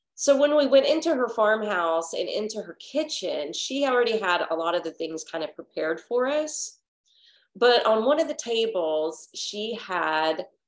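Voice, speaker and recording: A woman speaks with audible room echo and a quiet background. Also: moderate pace. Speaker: yoga teacher. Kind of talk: casual class introduction story. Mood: warm and cheerful. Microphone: webcam.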